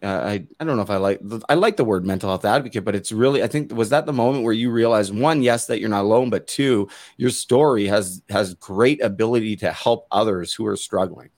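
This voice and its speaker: A man with an ordinary speaking voice talks at a fairly low pitch with ordinary pitch variation. He leaves hardly any pauses. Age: 30s. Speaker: podcast host, former hockey player. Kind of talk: interview conversation.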